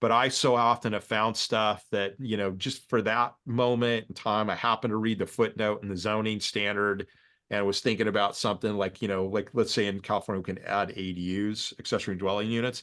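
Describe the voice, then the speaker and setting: Against a quiet background, a man speaks at a fairly quick pace and fairly low pitch with monotone, flat intonation. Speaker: real estate developer teaching a course. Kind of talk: lecture on a video call. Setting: video call. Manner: fast.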